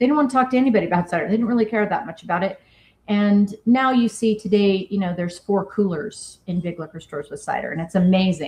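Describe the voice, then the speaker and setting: Speaking very fast with an American accent, a woman has a medium pitch, ordinary pitch variation and a somewhat breathy sound. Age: 50s. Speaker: cidermaker and business founder. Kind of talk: interview.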